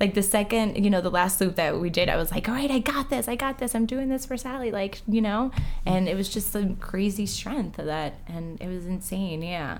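A woman speaks at a medium pitch with lively intonation while music plays in the background. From Uruguay, moved to US at six. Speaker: amateur marathon runner. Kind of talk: casual chat.

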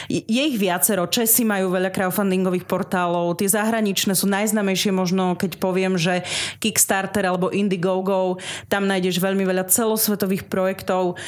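Her loudness stays very even at a moderate pace. The woman's medium-pitched voice holds a monotone, flat intonation. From eastern Slovakia, Snina district, Rusyn village. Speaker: radio presenter and podcaster. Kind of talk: radio interview. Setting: radio studio.

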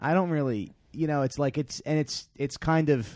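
The background is silent in this very clean recording. A man talks at a fairly quick pace. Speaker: podcast host. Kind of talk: casual chat. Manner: loud.

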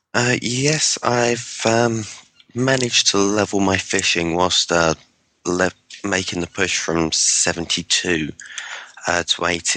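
A man's fairly low voice in an English accent, at a fairly slow pace with very even loudness. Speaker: podcast guest, online gamer. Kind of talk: casual chat. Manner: hesitant, many fillers.

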